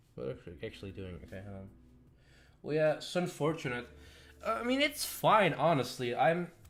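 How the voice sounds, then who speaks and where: Music plays behind a man whose pitch is fairly high. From Belgium. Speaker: streamer and animator. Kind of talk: casual live stream chat. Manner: halting, many fillers and restarts.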